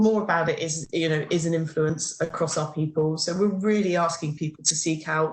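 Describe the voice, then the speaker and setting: Somewhat breathy woman's voice. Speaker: corporate HR speaker. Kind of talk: webinar presentation. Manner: fast.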